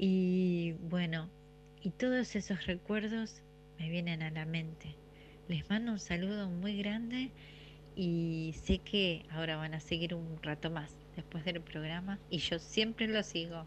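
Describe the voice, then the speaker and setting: A woman's somewhat breathy, fairly low voice in an Argentine accent, with ordinary pitch variation and a very slow pace. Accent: Rioplatense Argentine Spanish. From Argentina, City Bell near La Plata. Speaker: radio listener sending a memory. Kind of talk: recorded voice message, nostalgic anecdote.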